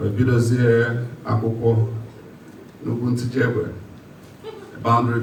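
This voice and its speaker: Audible room echo and noticeable background noise accompany a man talking fairly slowly. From Nigeria, Anambra State. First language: Igbo. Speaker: politician. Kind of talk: public speech. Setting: meeting hall with audience.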